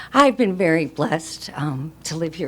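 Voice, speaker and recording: A woman speaks very slowly with lively intonation and a very deep, low pitch. Noticeable background noise runs underneath. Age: 60s. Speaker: resident speaking at public comment. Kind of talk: public comment at county meeting. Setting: public meeting room.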